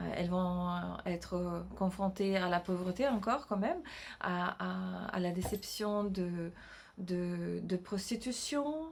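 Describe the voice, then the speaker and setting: Very slowly, a woman talks in a medium pitch. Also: ordinary pitch variation. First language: not French (speaking French). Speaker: novelist and illustrator. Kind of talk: casual vlog announcement. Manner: halting, many hesitations and repetitions.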